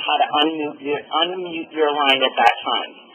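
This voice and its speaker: Noticeable background noise sits behind a woman whose pitch is fairly low. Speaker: webinar moderator. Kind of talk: webinar introduction. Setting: webinar.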